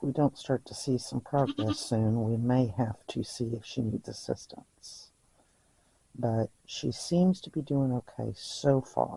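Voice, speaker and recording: A soft-spoken, somewhat breathy man at medium pitch, dark and mellow in tone, with ordinary pitch variation, a fairly slow pace, and a dry, close sound with no echo. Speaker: goat farmer. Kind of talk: live narration of goat birth.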